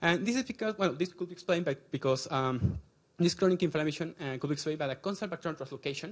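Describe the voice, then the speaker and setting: The speech comes at a very fast pace in a Spanish accent. Pitch varies in an ordinary way. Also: man. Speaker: researcher. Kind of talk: conference talk. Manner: halting.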